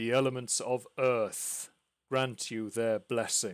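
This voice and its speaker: In a very clean recording with a silent background, a man uses a rumbling put-on character voice at medium pitch and a fairly slow pace. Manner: solemn, booming.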